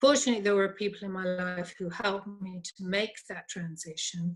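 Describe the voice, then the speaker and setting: Her pace is fairly quick and her pitch is medium. This woman's voice is somewhat breathy. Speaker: psychologist, former lawyer. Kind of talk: interview conversation.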